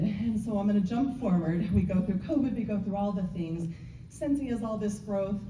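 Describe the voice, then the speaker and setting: There is noticeable background noise and audible room echo. A woman speaks at a moderate pace with ordinary pitch variation. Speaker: direct sales consultant, motivational speaker. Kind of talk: motivational talk. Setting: stage with audience.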